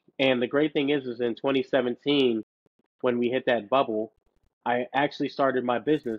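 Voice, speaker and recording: A man speaks in an ordinary speaking voice at medium pitch. His intonation is fairly even. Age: 30s. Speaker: financial coach and rapper. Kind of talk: casual interview chat.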